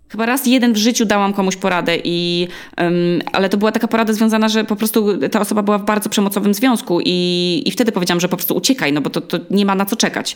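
Her pitch medium with ordinary variation, a woman races along at a very fast pace with hardly any pauses. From Poland, Olsztyn (Warmia). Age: 30s. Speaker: podcaster. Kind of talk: interview.

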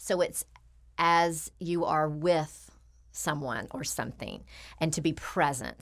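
Speaking at a fairly slow pace, a woman uses a very deep, low pitch with vocal fry. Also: very clean recording, silent background. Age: 40s. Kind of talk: casual interview chat.

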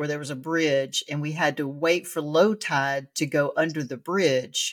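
This woman has a very deep, low pitch and speaks with an American accent. Her intonation is fairly even and her pace fairly slow. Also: very clean recording, silent background. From Louisiana, near the Texas line. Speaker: podcast host and military veteran. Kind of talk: casual interview chat. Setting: home basement.

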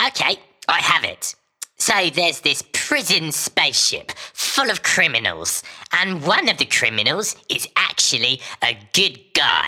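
A put-on character voice at a middle pitch moves along at a fairly slow pace. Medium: audio drama.

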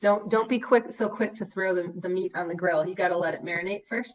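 In an American accent, a woman speaks at a very fast pace. Her pitch sits in the medium range. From Wisconsin, US Midwest. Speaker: high school English teacher and author. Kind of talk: casual interview conversation.

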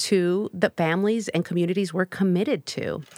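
A woman's fairly low, unremarkable speaking voice at a moderate pace, in a very clean recording with a silent background and a dry, close sound with no echo. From US Midwest, south side of Chicago. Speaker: clinical psychologist and nonprofit director. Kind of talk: podcast interview.

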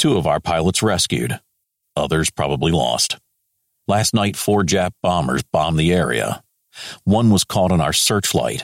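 In a dry, close sound with no echo, a man puts on a character voice at an extremely low pitch, with lively intonation and a fairly slow pace.

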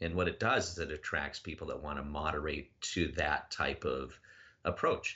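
A man's very deep, low voice with an American accent, vocal fry and a moderate pace. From Minnesota, US Midwest. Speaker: business executive and online community moderator. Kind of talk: interview conversation. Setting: phone call.

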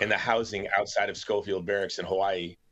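A man with an unremarkable speaking voice talks at a fairly quick pace and a fairly low pitch. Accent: American. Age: 50s. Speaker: founder of a humanitarian advocacy group. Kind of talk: casual interview, personal life story.

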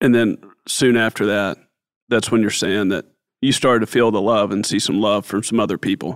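In a very clean recording with a silent background, a man with a plain, everyday voice speaks at a fairly low pitch and a fairly quick pace, his intonation fairly even. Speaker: podcast host. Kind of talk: interview.

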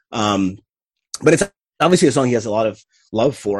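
A man's fairly low-pitched voice, dry and close with no echo. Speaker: podcast guest, music fan. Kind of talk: casual chat.

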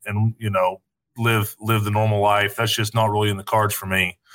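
The voice is bright and sharp, with an East Tennessee accent, moving at a fairly quick pace. The recording is very clean with a silent background, and the sound is dry and close with no echo. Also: man. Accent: Southern US (East Tennessee). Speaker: retired football player. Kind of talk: casual chat.

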